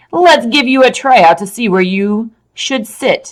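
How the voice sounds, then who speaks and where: Put-on character voice from a woman, fairly high-pitched, fairly slow, with lively intonation. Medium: read story.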